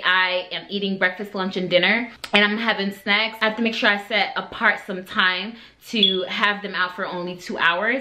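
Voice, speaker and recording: A woman talks at a moderate pace and medium pitch. Her intonation is monotone and flat, with noticeable background noise. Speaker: beauty and lifestyle vlogger. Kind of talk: casual vlog talk to camera.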